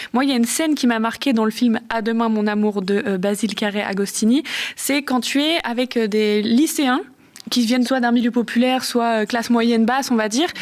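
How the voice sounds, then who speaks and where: A woman talks at a fairly quick pace with a fairly high pitch and ordinary pitch variation. Her loudness stays very even over noticeable background noise. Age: 20s. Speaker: interviewer. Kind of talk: interview.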